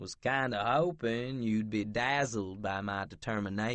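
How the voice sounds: A natural reading voice, pitch shifting in an ordinary way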